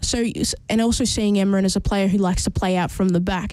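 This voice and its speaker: A woman speaks at a fairly quick pace with a dark, mellow tone and fairly even intonation. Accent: Australian. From Australia. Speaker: football radio host. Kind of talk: casual chat. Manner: fast.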